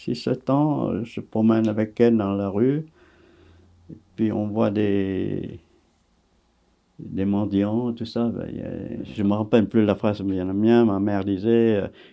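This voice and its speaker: This man has a fairly low pitch and fairly even intonation. He speaks at a very slow pace with long, frequent pauses. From Vietnam. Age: 80s. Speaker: actor. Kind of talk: interview answer.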